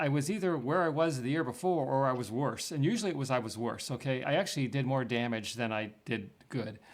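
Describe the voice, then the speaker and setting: A man with an ordinary speaking voice and medium pitch talks at a fairly quick pace with hardly any pauses. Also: lively intonation. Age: 60s. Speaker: retiree turned investor. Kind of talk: interview.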